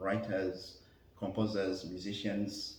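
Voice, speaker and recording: A man talks at a very slow pace with a fairly low pitch. The recording has audible room echo and noticeable background noise. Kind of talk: interview. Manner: halting, many fillers.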